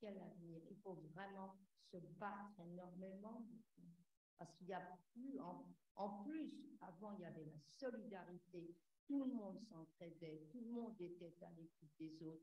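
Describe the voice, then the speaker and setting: A woman speaks in a dark, mellow, somewhat breathy tone, with long, frequent pauses. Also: medium pitch for a woman, ordinary pitch variation, fairly slow pace. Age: 90s. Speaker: audience member, war-era witness. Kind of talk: testimony. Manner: halting.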